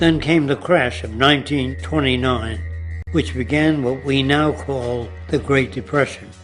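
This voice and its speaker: With music playing in the background, a man with an American accent talks at a fairly slow pace, his pitch swinging very widely. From New York City. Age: 80s+. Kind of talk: scripted monologue to camera.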